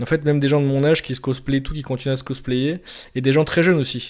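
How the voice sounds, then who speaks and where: A man talks at a very fast pace with a dark, mellow tone. His intonation stays fairly even. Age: 20s. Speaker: vlogger. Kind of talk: casual monologue. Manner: halting, many repetitions and fillers.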